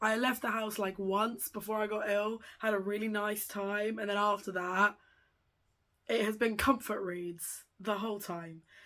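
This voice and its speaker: Speaking with a British accent, a woman uses a bright, sharp tone at medium pitch, flat monotone intonation and a fairly slow pace, on a very clean recording with a silent background. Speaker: book youtuber. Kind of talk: casual vlog chat.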